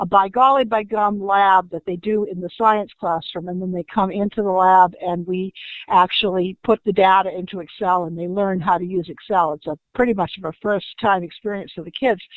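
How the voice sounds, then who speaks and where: A woman talks in a plain, everyday voice at a medium pitch and a moderate pace. Her loudness swings a lot, with hardly any pauses and fairly even intonation. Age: 60s. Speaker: school technology specialist. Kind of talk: audience question. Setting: online webinar from home.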